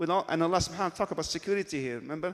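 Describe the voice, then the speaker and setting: A high-pitched man speaks on a very clean recording with a silent background. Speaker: Islamic teacher. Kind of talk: lecture. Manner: fast.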